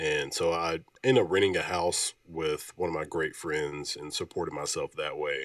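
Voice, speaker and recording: A man in a Southern US accent, at a moderate pace with hardly any pauses. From Alabama. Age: 20s. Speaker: music label owner and military veteran. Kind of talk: casual interview.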